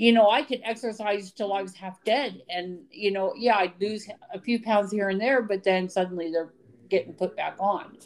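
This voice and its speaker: Here a woman has a normal speaking voice with an American accent. Her medium pitch holds fairly even intonation at a moderate pace. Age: 50s. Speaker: podcast co-host. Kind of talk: casual chat.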